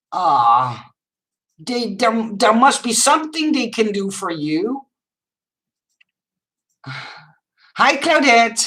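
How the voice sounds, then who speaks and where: A woman speaks very slowly with vocal fry, her fairly high pitch swinging very widely. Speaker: live streamer reading viewer chat.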